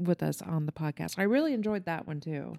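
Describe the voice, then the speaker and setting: Heard dry and close with no echo, a woman talks at a moderate pace in a fairly low, dark, mellow voice. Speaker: podcast co-host. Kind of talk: casual chat.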